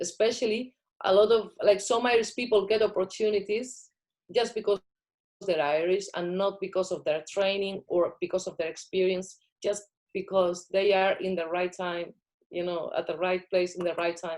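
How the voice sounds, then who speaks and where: A woman speaks with a Spanish accent. Her intonation stays fairly even. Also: medium pitch for a woman, moderate pace. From Spain. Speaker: filmmaker. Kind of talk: interview.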